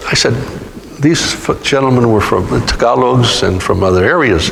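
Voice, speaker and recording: A man with an American accent speaks at medium pitch and a moderate pace, his intonation lively and his loudness very even. Noticeable background noise and audible room echo surround him. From California (Stockton). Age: 70s. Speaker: author. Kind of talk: interview Q&A. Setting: museum talk with audience. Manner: halting, many fillers.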